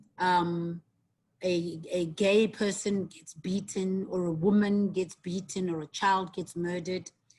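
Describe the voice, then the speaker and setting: A woman speaks at a medium pitch and a fairly slow pace, her voice somewhat breathy and her intonation flat and monotone. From South Africa. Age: 50s. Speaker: guest lecturer, tourism marketing executive. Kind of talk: online guest lecture. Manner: hesitant, many fillers.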